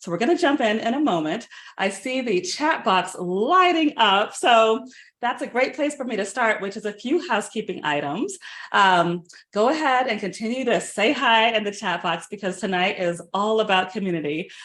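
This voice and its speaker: A woman's fairly high, animated voice with very wide pitch swings at a moderate pace, quiet background. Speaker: culinary nutritionist. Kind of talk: online cooking workshop. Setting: webinar.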